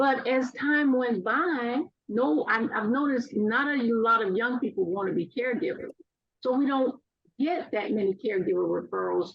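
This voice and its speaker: Her high-pitched voice moves at a moderate pace with lively intonation, and this woman keeps her loudness very even. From Louisiana. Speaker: aging services caregiver program worker. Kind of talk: webinar presentation Q&A.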